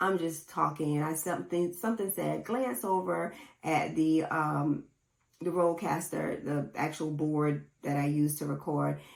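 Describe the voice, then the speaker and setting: A woman with a very deep, low pitch, ordinary pitch variation and a moderate pace. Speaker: podcast host. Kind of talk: casual solo podcast talk. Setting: home recording setup with camera and mixer. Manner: low-energy, not chipper.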